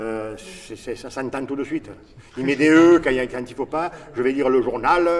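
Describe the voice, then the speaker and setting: Against noticeable background noise, a man speaks at medium pitch and a moderate pace, with ordinary pitch variation and big swings in loudness. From southern France. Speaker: theatre actor. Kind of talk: interview.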